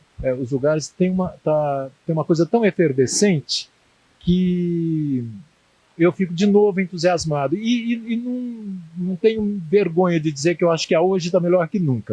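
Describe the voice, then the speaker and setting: A man's high-pitched, dark, mellow voice with lively intonation at a fairly slow pace, in a dry, close sound with no echo. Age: 60s. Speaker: writer and punk scene figure interviewed. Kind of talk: interview. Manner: halting, many repetitions.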